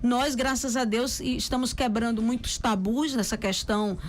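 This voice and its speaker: Music plays in the background and the room echoes audibly as a woman with a high pitch speaks at a moderate pace. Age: 50s. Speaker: radio host. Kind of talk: casual chat. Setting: radio studio.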